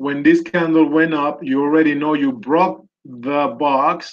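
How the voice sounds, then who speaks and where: Someone speaks at a very slow pace with a Spanish accent. The pitch varies in an ordinary way. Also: man. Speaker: trading educator. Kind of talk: live market analysis tutorial. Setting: live video session.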